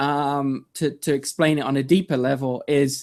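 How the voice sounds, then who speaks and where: A fairly high-pitched man with a British accent at a fairly slow pace. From England. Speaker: online video marketer. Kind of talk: interview. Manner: halting, many fillers.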